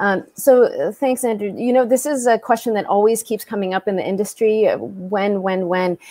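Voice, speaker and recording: A woman's fairly high, dark, mellow voice with hardly any pauses, over a quiet background. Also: ordinary pitch variation, moderate pace. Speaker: tech company co-founder; panelist. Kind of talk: panel discussion. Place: home room.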